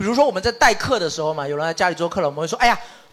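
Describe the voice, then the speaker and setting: Here is a man speaking. His intonation is lively. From Shaxian, Sanming, Fujian, southern China. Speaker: podcast host. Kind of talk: casual group chat before live audience.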